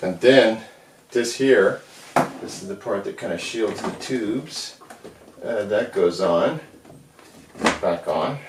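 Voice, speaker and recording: A man speaks very slowly, with long, frequent pauses and big swings in loudness, over noticeable background noise. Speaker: hobbyist amp repair video maker. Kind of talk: tutorial. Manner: casual, relaxed.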